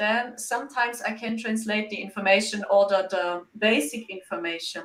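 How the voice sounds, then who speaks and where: This woman talks in a German accent at a moderate pace. Her pitch is fairly high, with ordinary variation. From Germany. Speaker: psychic medium. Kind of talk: interview.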